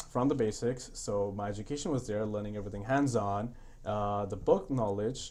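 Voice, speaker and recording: A man's fairly low voice at a moderate pace, with fairly even intonation and audible room echo. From India. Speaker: construction company founder. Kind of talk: podcast interview.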